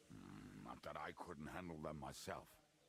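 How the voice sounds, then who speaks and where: Over clear background noise, a man growls at a moderate pace in a put-on character voice with a very deep, low pitch. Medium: video game. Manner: brash, jovial.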